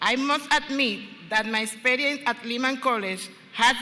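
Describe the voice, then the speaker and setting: A woman with a Spanish accent and high pitch at a fairly slow pace, ordinary pitch variation, audible room echo, and noticeable background noise. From Dominican Republic. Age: 50s. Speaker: student speaker. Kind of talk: ceremonial speech. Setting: stage with audience. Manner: formal.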